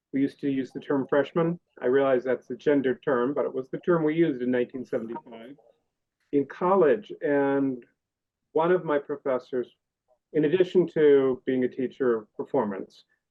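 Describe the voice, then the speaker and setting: At a moderate pace, a man speaks in an unremarkable speaking voice, fairly high in pitch with ordinary pitch variation. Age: 60s. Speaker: audience member, student. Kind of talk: audience comment.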